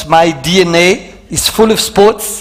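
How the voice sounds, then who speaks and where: Over noticeable background noise, a man with a French accent speaks at a high pitch with ordinary pitch variation. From Belgium. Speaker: motivational speaker. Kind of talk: keynote talk. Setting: stage with audience.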